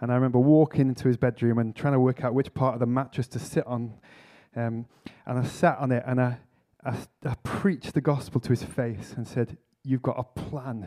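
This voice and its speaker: Speaking with a Lancashire accent, a man has a dark, mellow tone of medium pitch, fairly even intonation and a fairly quick pace. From northwest England, Preston. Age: 40s. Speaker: vicar and church planter. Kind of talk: conference talk.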